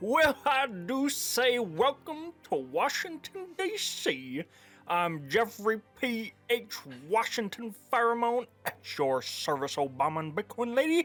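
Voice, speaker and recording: A man's put-on character voice, extremely high-pitched, with very wide pitch swings, a fairly slow pace and faint music in the background. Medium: actual play. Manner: over-formal, old-fashioned.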